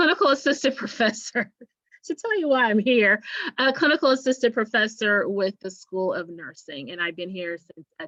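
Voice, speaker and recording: In a dry, close recording with no echo, a woman with an American accent speaks at a moderate pace in a fairly high, bright, sharp voice, her pitch swinging very widely and her loudness shifting in big swings. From rural Kansas. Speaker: nursing professor. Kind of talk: panel discussion. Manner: halting.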